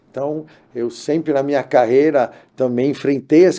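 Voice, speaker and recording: The tone is dark and mellow, and the speech keeps a moderate pace. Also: man. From Brazil, Santos (São Paulo coast). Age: 50s. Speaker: labor court judge. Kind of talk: podcast interview.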